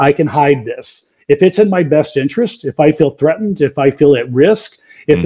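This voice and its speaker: With a plain, everyday voice, a man with an American accent speaks at a moderate pace and a fairly high pitch, with lively intonation and a dry, close sound with no echo. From southeast Texas (Beaumont). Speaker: author and corporate coach. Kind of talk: interview.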